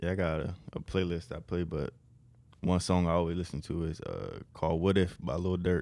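On a very clean recording with a silent background, a man with an American accent talks at a moderate pace in a very deep, low voice, dark and mellow in tone, with monotone, flat intonation. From Maryland. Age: 20s. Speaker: college basketball player. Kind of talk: casual chat.

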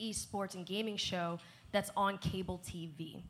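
A woman with an American accent and a plain, everyday voice, medium in pitch, fairly even in intonation and fairly slow in pace. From New Jersey. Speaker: esports show co-host and panel moderator. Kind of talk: panel discussion.

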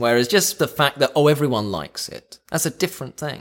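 A man's very fast speech with vocal fry. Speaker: podcast co-host. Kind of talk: casual chat.

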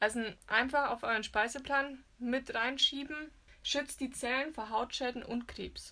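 Speaking at a fairly slow pace, a woman projects a raised, high-pitched voice with a bright, sharp tone and fairly even intonation. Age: 20s. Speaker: magazine editor. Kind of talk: casual chat. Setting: recording in a walk-in wardrobe.

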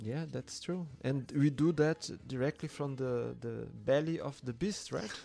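A man's fairly high, dark, mellow voice with a Portuguese accent at a fairly slow pace. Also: ordinary pitch variation. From Brazil, Sao Paulo periphery. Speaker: DJ and record label founder. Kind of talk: casual conversation.

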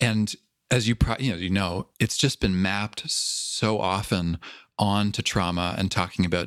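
A man speaks at a moderate pace in a fairly low voice, with ordinary rise and fall in pitch. The recording is very clean with a silent background, and it is an ordinary speaking voice. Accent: Canadian. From Canada, Toronto. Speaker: podcast host, mindfulness teacher. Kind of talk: interview.

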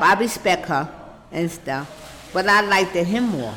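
Against noticeable background noise, a woman with a New York accent speaks very slowly, her pitch swinging very widely. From Brooklyn, New York. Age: 60s. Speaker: retired city worker. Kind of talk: oral history interview. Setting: senior center.

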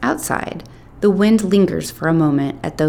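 The words are read aloud in a natural-sounding voice.

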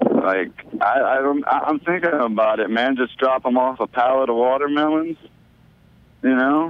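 A man speaks at a fairly slow pace and very even loudness, his medium pitch moving with ordinary variation over noticeable background noise. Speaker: phone-in guest calling the show. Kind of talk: casual chat. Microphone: glitchy phone connection, robotic sound.

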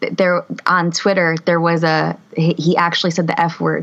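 At a moderate pace, a woman talks in a plain, everyday voice, fairly low in pitch, with fairly even intonation. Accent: American. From Harrison, New Jersey. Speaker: podcast co-host, teacher. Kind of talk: casual chat. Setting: video call.

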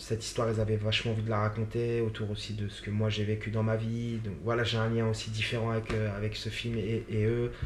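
A man with a fairly low, monotone, flat delivery at a moderate pace, with audible room echo and noticeable background noise. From Paris suburbs, France. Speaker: actor. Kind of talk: interview. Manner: halting, many fillers and repetitions.

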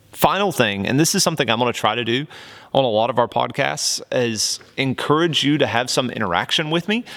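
Talking at a fairly quick pace with a slight Southern US accent, a man with a medium pitch uses lively intonation on a very clean recording with a silent background. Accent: slight Southern twang. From US South, Oklahoma near Texas border. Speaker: worship leader and podcast host. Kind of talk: casual monologue. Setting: studio with camera and microphone.

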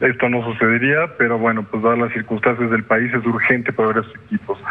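Noticeable background noise sits behind a man who talks fairly quickly at a medium pitch. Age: 40s. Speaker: businessman. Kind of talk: interview. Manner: halting.

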